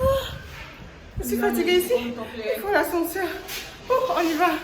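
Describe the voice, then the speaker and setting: A woman speaks at an extremely high pitch. Audible room echo and noticeable background noise surround her voice. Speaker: vlogger. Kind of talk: vlog. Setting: outdoors by the sea. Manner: fast.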